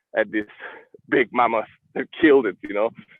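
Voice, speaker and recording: With an Italian accent, a man is heard in a dry sound with no echo and a quiet background. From Italy. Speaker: live stream host, entrepreneur; live stream host. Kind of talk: casual interview. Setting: live stream. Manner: loud. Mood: reflective, conversational. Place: street. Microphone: video call.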